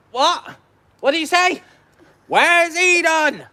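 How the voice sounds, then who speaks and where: A put-on character voice, pitched extremely high and croaky. It moves at a fairly slow pace. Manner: confused, slow.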